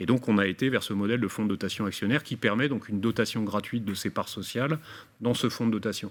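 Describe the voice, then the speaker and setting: A man rattles along at a very fast tempo, his fairly low pitch rising and falling in an ordinary way. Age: 60s. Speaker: business owner. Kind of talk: webinar presentation. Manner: halting, many fillers.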